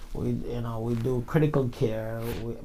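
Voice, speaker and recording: Somewhat breathy, a man with a Jamaican accent speaks at a medium pitch and a fairly slow pace, with audible room echo. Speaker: insurance sales supervisor. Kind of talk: casual interview.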